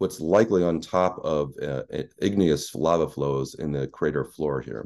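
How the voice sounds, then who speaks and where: A man speaks at a fairly slow pace with a very deep, low pitch, vocal fry, and ordinary pitch variation. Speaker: planetary scientist; presenter. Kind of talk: lecture. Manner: halting, many fillers. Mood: enthusiastic, explanatory. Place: home room.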